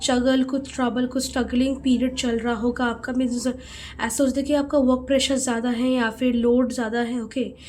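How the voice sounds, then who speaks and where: Her intonation monotone and flat, a woman speaks at a moderate pace in a high pitch. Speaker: tarot card reader. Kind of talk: tarot reading. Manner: halting.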